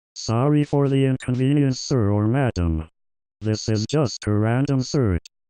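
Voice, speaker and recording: A man puts on a cartoonish character voice. He keeps a medium pitch and a moderate pace. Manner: formal.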